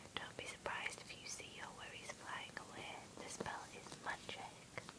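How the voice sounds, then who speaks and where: A whisper at a moderate pace. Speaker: ASMR creator. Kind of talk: ASMR magazine flip-through with chatty commentary. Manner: whispered; soft-spoken. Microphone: phone near.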